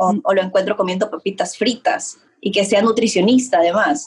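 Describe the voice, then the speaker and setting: A woman speaks at a medium pitch and moderate pace. Her voice is somewhat breathy. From Ecuador. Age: young. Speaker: image consultant. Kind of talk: interview. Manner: halting.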